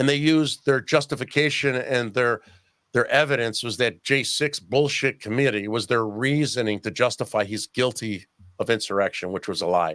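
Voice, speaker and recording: With an animated tone, a man talks at a moderate pace in a medium pitch with ordinary pitch variation, captured on a very clean recording with a silent background and a dry, close sound with no echo. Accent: American. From Chicago, US Midwest. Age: 60s. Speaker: parent activist and podcaster. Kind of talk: casual interview chat.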